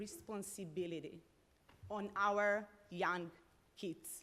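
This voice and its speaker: Speaking with a non-native accent, a woman shows ordinary pitch variation. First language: not English. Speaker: parent speaking at public comment. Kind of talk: public comment at school board meeting. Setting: school board meeting.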